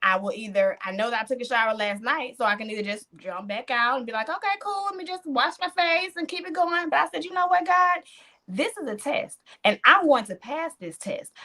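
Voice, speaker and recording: Animated and projected, a woman's high voice moves at a fairly quick pace with very wide pitch swings and big swings in loudness. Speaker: podcast host. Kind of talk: casual chat.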